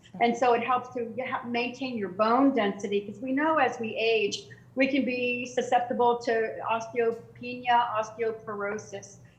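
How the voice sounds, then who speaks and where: A woman speaks at a high pitch and a moderate pace with hardly any pauses and fairly even intonation, amid noticeable background noise and audible room echo. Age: 60s. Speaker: fitness trainer. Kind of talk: interview. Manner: halting, many fillers.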